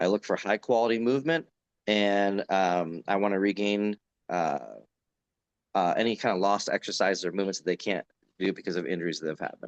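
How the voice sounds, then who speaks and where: A man with an unremarkable speaking voice talks at a fairly quick pace and a fairly low pitch, sounding dry and close with no echo over a quiet background. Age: 40s. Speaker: strength coach and gym owner. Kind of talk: podcast interview. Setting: video call.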